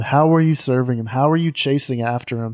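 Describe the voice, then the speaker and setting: The voice has a dark, mellow tone and fairly even intonation, with a Southern US accent, in a dry, close sound with no echo. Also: man. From US South, Mississippi. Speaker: podcast host. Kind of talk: casual chat.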